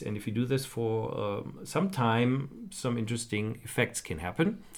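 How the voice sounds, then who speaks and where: A man with a German accent talks at a moderate pace, with a medium pitch and ordinary pitch variation. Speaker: podcast host. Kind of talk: casual chat.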